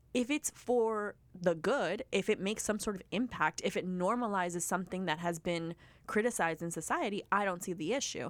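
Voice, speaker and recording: A woman's voice of medium pitch, an ordinary speaking voice with ordinary pitch variation, at a fairly quick pace with hardly any pauses, in a very clean recording with a silent background. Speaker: podcast host. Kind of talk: casual chat.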